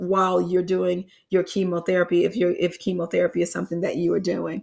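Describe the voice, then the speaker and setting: This woman's medium-pitched voice stays monotone, with flat intonation. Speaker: health coach and show host. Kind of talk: live online health class with Q&A. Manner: halting, many repetitions.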